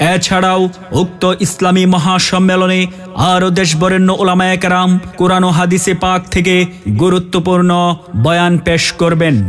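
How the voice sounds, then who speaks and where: Over music in the background, a man speaks at a high pitch, monotone and flat, with very even loudness. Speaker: voice artist. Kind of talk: loudspeaker event announcement. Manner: rousing, declamatory.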